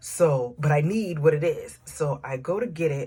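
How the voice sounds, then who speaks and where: A woman's very deep, low voice, dark, mellow and somewhat breathy, in an American accent. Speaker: faith coach and author. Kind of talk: personal dream testimony to camera. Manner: casual, conversational.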